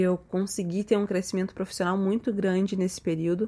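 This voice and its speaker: The woman's voice sits at a medium pitch and has a dark, mellow tone. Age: 20s. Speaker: makeup artist. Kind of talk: personal monologue podcast.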